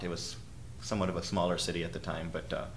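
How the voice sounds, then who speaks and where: With an American accent, a man with a very deep, low voice talks at a very fast pace amid audible room echo and noticeable background noise. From US, Rochester, New York. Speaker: orchestral violist. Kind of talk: interview. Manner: halting, many fillers.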